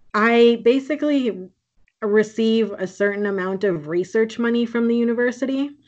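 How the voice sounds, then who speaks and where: Here is a woman with a normal speaking voice in an American accent. Her pitch is fairly high, with ordinary variation, at a moderate pace. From US Midwest, Green Bay, Wisconsin. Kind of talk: casual interview.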